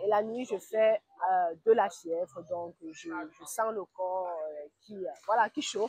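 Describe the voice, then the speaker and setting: This woman has a medium pitch. Her pace is very slow. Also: ordinary pitch variation, dry, close sound with no echo. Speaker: vlogger and business owner. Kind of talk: travel vlog. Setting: outdoors by a pool. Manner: halting.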